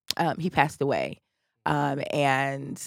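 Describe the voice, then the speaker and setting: Vocal fry in a dry, close sound with no echo, on a very clean recording with a silent background. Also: woman. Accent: American. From Chicago South Side. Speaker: political candidate. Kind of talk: interview. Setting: studio.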